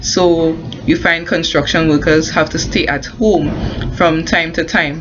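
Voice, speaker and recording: Music plays behind a woman with a fairly low pitch. She speaks at a fairly slow pace. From Caribbean. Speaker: construction worker and home business promoter. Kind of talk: casual talk to camera. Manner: hesitant, many fillers and restarts.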